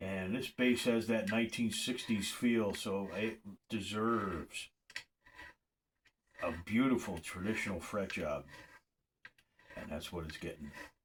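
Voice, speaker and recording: Speaking with ordinary pitch variation, a man uses a fairly low voice and leaves long, frequent pauses. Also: fairly slow pace. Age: 60s. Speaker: luthier. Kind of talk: tutorial. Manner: casual, repetitive with false starts.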